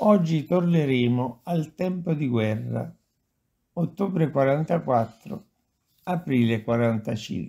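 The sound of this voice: With lively intonation and vocal fry, a man speaks slowly at a medium pitch in a dark, mellow tone.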